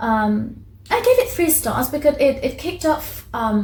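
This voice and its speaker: A woman speaks with a Persian accent. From Iran. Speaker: book vlogger. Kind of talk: casual book review. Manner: halting, many fillers and restarts.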